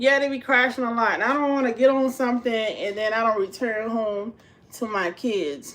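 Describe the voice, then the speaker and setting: Speaking at a moderate pace with an American accent, a woman uses a fairly high pitch with ordinary pitch variation. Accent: said to sound like she's from New York. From US South, South Carolina. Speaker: home cook and vlogger. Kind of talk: casual livestream chat. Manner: animated.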